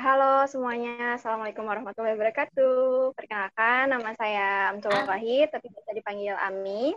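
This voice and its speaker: Using an ordinary speaking voice, a woman talks at a fairly quick pace in a fairly high pitch. Her intonation stays fairly even, and the sound is dry and close with no echo. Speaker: nursing student, alumna. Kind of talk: casual chat.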